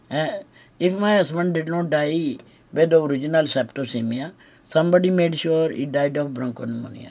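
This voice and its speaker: Speaking in an Indian accent at a moderate pace, a woman has very deep, low pitch, a dark, mellow tone and ordinary pitch variation. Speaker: widow making accusations. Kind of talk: recorded monologue. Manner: halting, many fillers.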